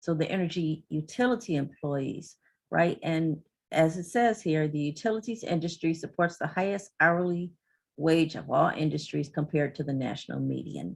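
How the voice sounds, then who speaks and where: A woman's very deep, low voice at a moderate pace, with ordinary pitch variation, on a very clean recording with a silent background. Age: 60s. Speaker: energy utility industry representative. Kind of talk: presentation.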